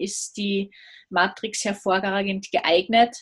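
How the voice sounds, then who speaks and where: In a very clean recording with a silent background, a woman with an Austrian accent speaks at a very slow pace and medium pitch, somewhat breathy, her intonation monotone and flat. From Austria, Salzburg. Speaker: business consultant. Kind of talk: interview.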